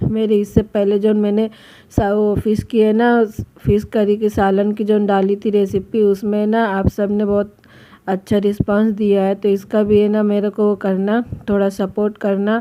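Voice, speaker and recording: A woman speaks at a medium pitch and a fairly slow pace. Her intonation stays monotone and flat. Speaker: home vlogger. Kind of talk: casual vlog narration.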